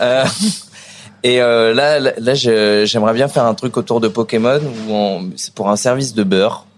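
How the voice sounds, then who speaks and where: Speaking slowly, though only fairly so, a man with an unremarkable speaking voice keeps a medium pitch and ordinary pitch variation. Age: young. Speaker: chef, restaurant owner. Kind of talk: casual interview. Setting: in a restaurant.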